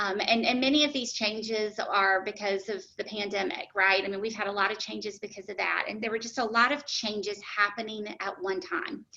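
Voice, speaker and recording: Over noticeable background noise, a woman speaks at a fairly quick pace with fairly even intonation and hardly any pauses. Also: medium pitch for a woman. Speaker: HR director presenting benefits. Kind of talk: webinar presentation Q&A. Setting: online webinar. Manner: fast; hesitant with many fillers.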